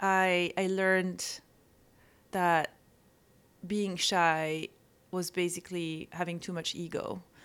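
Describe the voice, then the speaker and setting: Speaking with a French accent, a woman uses a bright, sharp tone at medium pitch, a very slow pace, fairly even intonation and long, frequent pauses, on a very clean recording with a silent background. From France (Corsica). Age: 40s. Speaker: photographer and author. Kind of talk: casual interview.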